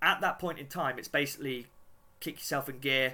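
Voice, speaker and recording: A man's voice sits at a fairly high pitch with a bright, sharp tone. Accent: British. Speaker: podcast host. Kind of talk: casual interview chat. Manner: halting, many fillers.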